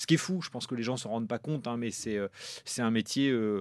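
At a medium pitch, this man talks very fast, varying his pitch in an ordinary way. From France, Normandy. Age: 30s. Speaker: film producer. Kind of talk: interview.

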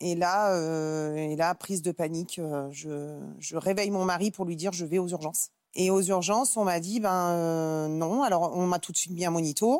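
A woman with a plain, everyday voice, fairly low pitch and ordinary pitch variation, at a moderate pace, on a very clean recording with a silent background. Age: 30s. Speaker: mother sharing difficult pregnancy. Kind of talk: testimony.

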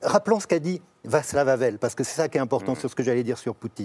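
The man's voice has a dark, mellow tone. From France. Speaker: journalist and writer. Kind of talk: televised panel debate. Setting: TV studio.

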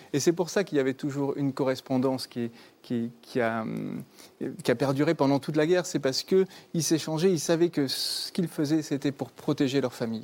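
Pausing long and often, a man with a fairly high pitch speaks at a fairly quick pace with ordinary pitch variation on a very clean recording with a silent background. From southwest France, Bordeaux. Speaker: novelist and musician. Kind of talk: live TV interview. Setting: TV studio with live audience.

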